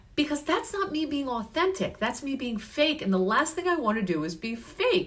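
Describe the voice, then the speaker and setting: Loud and animated, a woman speaks at a moderate pace in a high pitch with very wide pitch swings, over noticeable background noise. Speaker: health and life coach. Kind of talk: live stream coaching talk. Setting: Facebook live stream.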